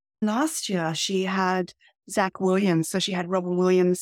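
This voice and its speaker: A woman's fairly low-pitched voice with an Australian accent, in a very clean recording against a silent background. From regional Australia (Albury, NSW). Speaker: documentary filmmaker. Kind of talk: interview.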